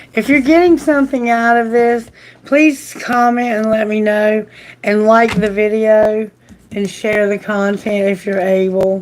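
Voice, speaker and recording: Noticeable background noise sits under a woman speaking at a fairly slow pace and fairly high pitch, with ordinary pitch variation. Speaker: tarot reader. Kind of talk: live tarot reading.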